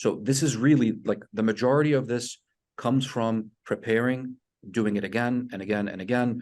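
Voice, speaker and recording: A man with a non-native accent speaks at a medium pitch with ordinary pitch variation against a quiet background. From outside US, international medical graduate. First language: not English. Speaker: residency program director. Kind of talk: webinar advice talk. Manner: relaxed, conversational.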